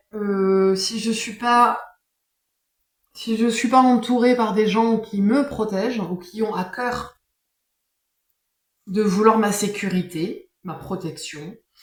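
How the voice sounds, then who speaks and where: Speaking at a very slow pace with long, frequent pauses, a woman's somewhat breathy voice sits at a fairly high pitch and shows ordinary pitch variation. Audible room echo surrounds her. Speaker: tarot card reader. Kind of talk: casual monologue. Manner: hesitant, many fillers.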